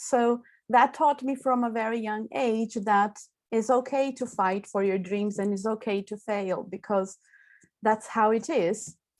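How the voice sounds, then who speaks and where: A woman speaks at a very slow pace with a Portuguese accent. Her pitch is fairly high and varies in an ordinary way. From southern Brazil. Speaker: classical singer. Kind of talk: seminar talk. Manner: hesitant fillers.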